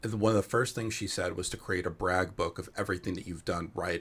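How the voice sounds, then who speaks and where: With a New Jersey accent, a man speaks in a very deep, low pitch and fairly even intonation. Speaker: panel moderator. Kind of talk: webinar panel discussion.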